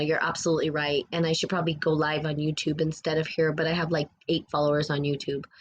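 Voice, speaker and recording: A woman with an American accent, very deep and low in pitch, monotone and flat, at a very fast pace. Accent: US Southwestern accent noticed by a viewer. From New Mexico. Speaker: spiritual podcast host. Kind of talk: live stream chat with viewer comments. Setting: live stream. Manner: casual, rambling with fillers.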